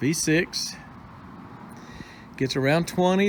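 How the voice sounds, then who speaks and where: A man speaks with a Texan accent. His intonation is lively. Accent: Texan Southern US. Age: 60s. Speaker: homesteading YouTuber. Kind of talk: casual vlog talk to camera. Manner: folksy, hesitant with fillers.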